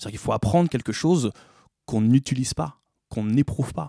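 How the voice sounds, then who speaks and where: A man speaks very fast in a dark, mellow tone with ordinary pitch variation. The recording is very clean with a silent background. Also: dry, close sound with no echo. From Paris suburbs (Bobigny). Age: 40s. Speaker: musician and theatre actor. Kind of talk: interview conversation.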